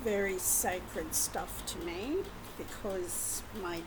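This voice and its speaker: A woman with an Australian accent speaks at a very slow pace. Audible room echo and noticeable background noise are present. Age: 60s. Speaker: vlogger. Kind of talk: casual monologue. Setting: at home.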